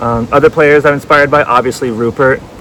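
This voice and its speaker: A man speaks over noticeable background noise. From Hawaii (Hilo). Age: 30s. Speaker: schoolteacher. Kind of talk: audition video monologue. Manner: animated.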